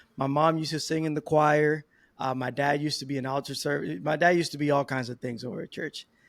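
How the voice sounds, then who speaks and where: Fairly high-pitched for a man, his voice moves at a very fast pace with fairly even intonation, in a dry, close sound with no echo. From Dominican Republic. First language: Spanish. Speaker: podcast guest, new father. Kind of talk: casual interview.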